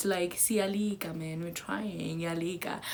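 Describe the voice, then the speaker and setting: A woman with a strong South African accent, at a very slow pace. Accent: strong Zulu South African. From South Africa, KwaZulu-Natal. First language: Zulu. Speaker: YouTuber. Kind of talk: casual chat. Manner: hesitant, many fillers.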